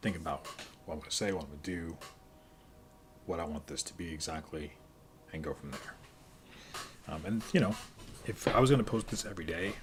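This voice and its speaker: Very deep and low in pitch, a man talks at a fairly quick pace with ordinary pitch variation. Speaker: streamer and student. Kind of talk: casual live stream monologue. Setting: home studio by kitchen. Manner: halting.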